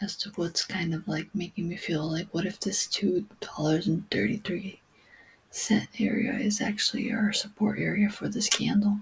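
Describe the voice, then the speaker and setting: The pace of the speech is fairly slow. It is delivered in a soft-spoken voice. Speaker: crypto trader. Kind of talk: chart analysis vlog. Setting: at home, late night.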